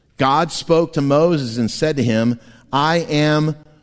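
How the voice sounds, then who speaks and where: Pitched fairly high with ordinary pitch variation, a man talks in an unremarkable speaking voice. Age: 50s. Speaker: pastor. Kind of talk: sermon. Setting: church.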